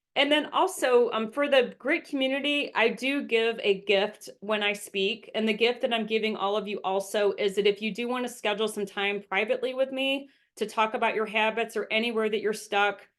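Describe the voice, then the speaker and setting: Speaking at a fairly quick pace with hardly any pauses, a woman uses a normal speaking voice, fairly high in pitch, with ordinary pitch variation. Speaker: habits and success coach, speaker. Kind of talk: presentation talk. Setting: virtual event. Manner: frequent um fillers.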